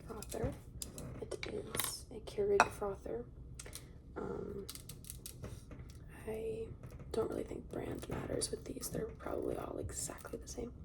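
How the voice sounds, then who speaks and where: A very slow pace with long, frequent pauses, over noticeable background noise. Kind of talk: ASMR soft-spoken talk to camera. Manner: soft-spoken.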